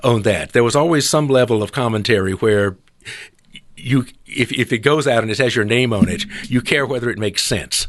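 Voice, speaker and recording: Fairly quick speech from a man in a Southern US accent, medium in pitch, with ordinary pitch variation. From US South, South Carolina. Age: 70s. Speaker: retired editorial cartoonist. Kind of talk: interview conversation.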